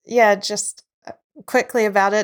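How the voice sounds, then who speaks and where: Recorded very cleanly with a silent background and a dry, close sound with no echo, a woman speaks in a medium-pitched voice with a New Zealand accent. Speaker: filmmaker and actress. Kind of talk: casual chat.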